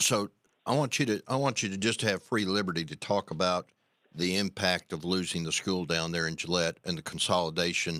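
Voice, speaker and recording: A man with an Arkansas accent speaks at a fairly quick pace in a very deep, low pitch with a bright, sharp tone. The sound is dry and close with no echo, and the recording is very clean with a silent background. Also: ordinary pitch variation. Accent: Southern US (Arkansas). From US South. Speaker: radio host. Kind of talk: radio interview.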